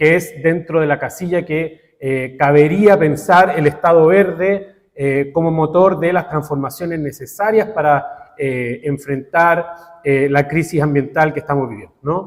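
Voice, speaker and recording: Here a man speaks in a fairly high voice at a fairly slow pace. His pitch variation is ordinary. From Chile. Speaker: academic researcher. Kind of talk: conference talk. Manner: deliberately slow; halting, many filler sounds.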